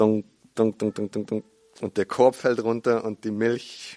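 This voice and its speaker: Against a quiet background, a man speaks at a very slow pace and a medium pitch, with a dry, close sound with no echo. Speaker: preacher. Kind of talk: sermon. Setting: church with congregation. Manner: earnest, teaching tone, explaining scripture step by step; warm, conversational storytelling with hesitations and repeats.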